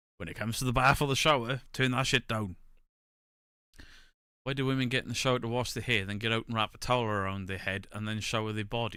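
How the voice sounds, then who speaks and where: This very fast voice has a bright, sharp tone and fairly even intonation. The recording is very clean, with a silent background. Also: man, medium pitch for a man. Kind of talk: casual stand-up comedy delivery.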